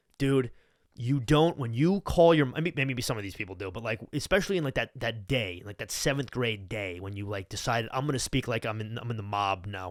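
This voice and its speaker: A man with a Long Island accent, medium-pitched and animated, with lively intonation, a fairly quick pace and a very clean recording against a silent background. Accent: Long Island New York. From Long Island, New York. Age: 20s. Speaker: podcast host. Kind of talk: casual chat. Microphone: new mic.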